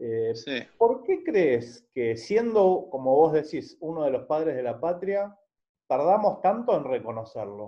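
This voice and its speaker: A man with an Argentine accent, a fairly high voice, very wide pitch swings and a very slow pace, over a quiet background. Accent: Rioplatense Argentine Spanish. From Argentina. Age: 40s. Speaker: journalist. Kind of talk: interview. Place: home room. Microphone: video call.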